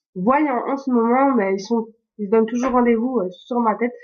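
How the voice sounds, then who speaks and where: A woman's high-pitched voice. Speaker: beauty vlogger. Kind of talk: casual tutorial vlog. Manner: hesitant, many fillers.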